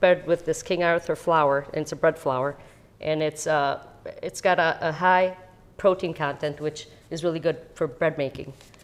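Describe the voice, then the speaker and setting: A woman in a Chicago accent speaks at a moderate pace and a fairly low pitch, with monotone, flat intonation. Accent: Chicago American English. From US Midwest, Chicago (born in Italy, moved at 8). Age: 60s. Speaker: home baker, parishioner. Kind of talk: cooking demonstration. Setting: kitchen. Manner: casual, hesitant with fillers.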